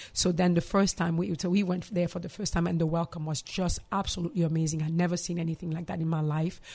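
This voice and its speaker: Over a quiet background, a woman talks at a very fast pace in a fairly low pitch. Her voice is somewhat breathy, with ordinary pitch variation. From DR Congo, Kinshasa. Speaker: psychologist and mental health counselor. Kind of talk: interview.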